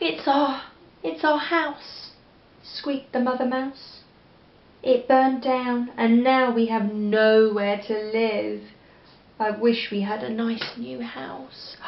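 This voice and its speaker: Pitched fairly high, a woman talks at a very slow pace, her pitch varying in an ordinary way. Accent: English. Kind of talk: children's picture book reading. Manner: gentle, engaging, asks the listener questions.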